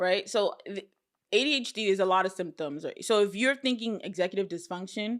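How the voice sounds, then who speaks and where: In a plain, everyday voice, a woman with an American accent talks at a fairly quick pace in a medium pitch with ordinary pitch variation. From US, Nigerian American family. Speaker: trauma therapist. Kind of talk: interview conversation.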